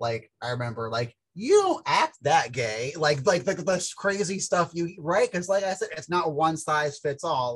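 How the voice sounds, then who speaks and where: Here a man with a fairly high pitch talks at a moderate pace with lively intonation. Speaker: peer podcast co-host. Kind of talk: casual chat. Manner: soft-spoken; hesitant, many fillers.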